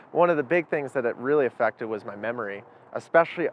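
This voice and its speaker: This man has an unremarkable speaking voice at medium pitch. His pitch varies in an ordinary way. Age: 20s. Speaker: former cannabis user interviewee. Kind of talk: interview testimony.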